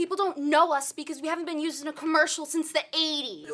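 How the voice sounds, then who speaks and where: A put-on character voice rattles along at a very fast pace in a high pitch. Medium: short film.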